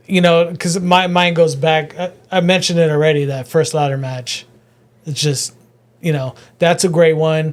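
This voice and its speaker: Here is a man with a normal speaking voice and a fairly high pitch. He keeps a fairly even intonation at a moderate pace. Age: 40s. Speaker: comedian. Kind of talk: casual chat.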